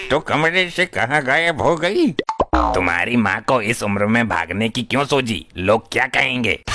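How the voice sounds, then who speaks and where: Doing a cartoonish character voice, a man at medium pitch swings very widely in pitch at a moderate pace while sound effects play in the background. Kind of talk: comic overacting. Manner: stammering, searching for words.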